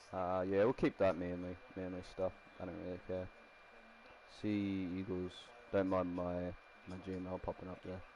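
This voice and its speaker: Speaking quietly with an Australian accent, a man uses a very deep, low pitch and a dark, mellow tone, his intonation monotone and flat, at a moderate pace with long, frequent pauses. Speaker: game streamer. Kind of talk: live stream commentary. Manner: casual, rambling.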